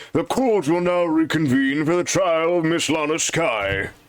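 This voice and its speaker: A man's put-on character voice, fairly high in pitch, with lively intonation, very even loudness and a moderate pace. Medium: game stream. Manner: formal, mildly exasperated.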